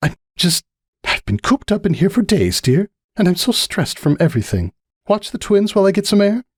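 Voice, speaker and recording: A man speaks in a put-on character voice, high-pitched and shaky, at a fairly quick pace with ordinary pitch variation. His loudness stays very even, and the sound is dry and close with no echo. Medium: read story. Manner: tense, trembling.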